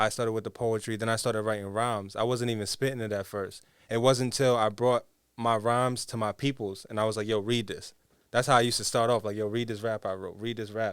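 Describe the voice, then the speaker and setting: A very fast, flat, monotone man with an American accent on a very clean recording against a silent background. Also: medium pitch for a man. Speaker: rapper. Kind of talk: interview. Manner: casual, hesitant with fillers.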